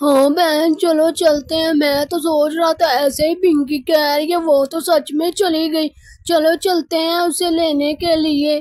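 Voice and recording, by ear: This is a cartoonish character voice. It sits at a high pitch. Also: moderate pace.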